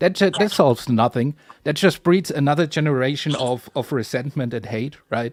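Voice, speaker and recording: On a very clean recording with a silent background, a man with a German accent and fairly high pitch speaks at a fairly quick pace with ordinary pitch variation. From Germany. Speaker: panelist in discussion. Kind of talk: casual chat.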